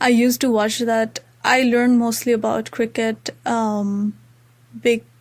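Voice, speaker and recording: With an Indian accent, a woman talks at a fairly high pitch and a fairly slow pace. Her intonation is monotone and flat, and her loudness very even. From Nepal, Terai region. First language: Maithili. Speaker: university student. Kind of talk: casual interview chat. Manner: many fillers and false starts.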